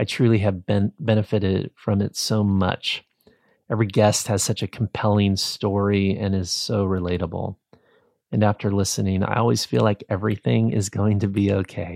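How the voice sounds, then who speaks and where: On a very clean recording with a silent background, a man with a fairly low pitch talks in a dark, mellow tone with fairly even intonation. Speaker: podcast host. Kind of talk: podcast interview intro and outro. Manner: warm, encouraging.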